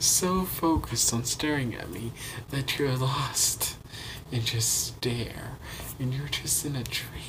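A man's voice against noticeable background noise. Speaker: vlogger. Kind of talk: casual vlog. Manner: lowered voice, quiet; halting. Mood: playful, amused. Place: home room. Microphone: phone near.

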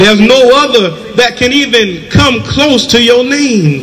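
A man talks at a fairly slow pace, with noticeable background noise in the recording. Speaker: church prayer leader. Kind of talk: fervent prayer. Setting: church, streamed online. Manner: fervent, rising preacher cadence. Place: street. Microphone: handheld.

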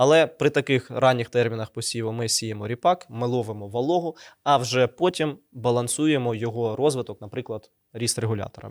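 The delivery comes at a moderate pace in an unremarkable speaking voice, with ordinary pitch variation and a dry, close sound with no echo. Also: man. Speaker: seed company product manager. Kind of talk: conversational agronomy talk show. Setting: studio.

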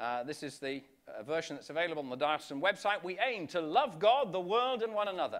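Over a quiet background, a high-pitched man talks at a very fast pace with very wide pitch swings and big swings in loudness. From northwest England, Wirral; northwest England. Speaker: bishop. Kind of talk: conference keynote talk. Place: hall. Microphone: podium.

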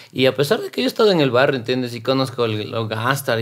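The background stays quiet while the man talks. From Quito, Ecuador (south); Ecuador. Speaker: rapper and actor; actor. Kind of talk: interview conversation. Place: studio. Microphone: studio mic.

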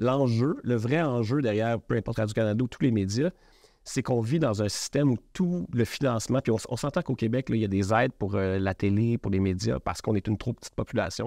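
A man with a dark, mellow tone speaks at a fairly quick pace against a quiet background, with a dry sound and no echo. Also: ordinary pitch variation. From Quebec. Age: 40s. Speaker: media entrepreneur. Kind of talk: interview. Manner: halting. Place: studio.

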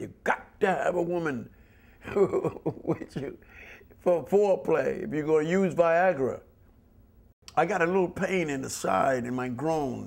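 Pausing long and often, a man with a high pitch for a man speaks at a fairly slow pace with ordinary pitch variation. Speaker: interviewee. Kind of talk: interview answer. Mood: candid, sometimes worried. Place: studio.

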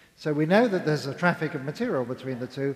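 A man's voice shows ordinary pitch variation over a quiet background. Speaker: panel scientist. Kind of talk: panel discussion answer. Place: stage. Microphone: headset.

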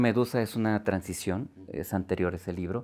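A man's fairly low voice with ordinary pitch variation, at a moderate pace in a quiet background. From Guanajuato, Mexico. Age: 50s. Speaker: poet. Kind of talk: interview. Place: studio. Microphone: lapel.

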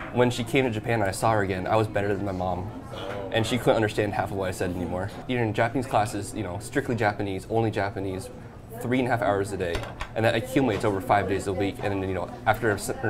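Clear music plays in the background. The speech moves at a very fast pace. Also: man. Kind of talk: interview answer. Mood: upbeat, reflective. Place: cafe. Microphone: lapel.

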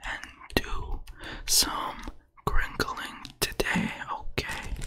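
A man is speaking. He is whispering. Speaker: ASMR content creator. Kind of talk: ASMR whisper video. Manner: whispered, repetitive. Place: home room. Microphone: studio mic.

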